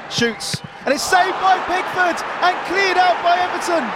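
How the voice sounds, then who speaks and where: Speech at a moderate speed with noticeable noise behind it. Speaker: football commentator. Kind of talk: live football commentary demo. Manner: occasionally stumbling and self-correcting.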